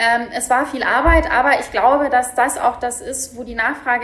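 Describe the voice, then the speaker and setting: A woman with a high voice talks at a moderate pace, her intonation staying fairly even. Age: 30s. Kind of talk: interview. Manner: hesitant, many filler words.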